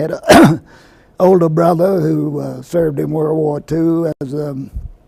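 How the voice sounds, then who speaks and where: Noticeable background noise sits behind a man with an American accent. He speaks at a very slow pace with fairly even intonation. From US South, Lynchburg, Virginia. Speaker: health physicist. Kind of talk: oral history interview. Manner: hesitant, many fillers.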